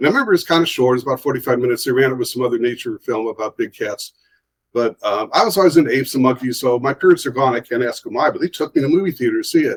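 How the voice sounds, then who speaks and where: Someone with an American accent talks very fast in a dry, close sound with no echo. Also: man. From Ohio, US. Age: 60s. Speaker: artist and author. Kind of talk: casual interview.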